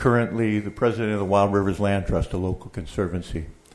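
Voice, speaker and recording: A man's unremarkable speaking voice, fairly low in pitch, with ordinary pitch variation and an American accent. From Oregon. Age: 60s. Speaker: public commenter, land trust president. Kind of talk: public testimony. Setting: public board meeting.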